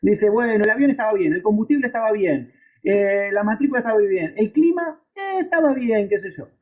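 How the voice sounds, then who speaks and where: Pitched high, a man speaks with an Argentine accent. His pace is fairly quick and his intonation lively. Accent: Argentine Spanish (rioplatense voseo). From Argentina. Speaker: aviation instructor. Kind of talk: lecture. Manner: conversational, with frequent fillers and repetitions.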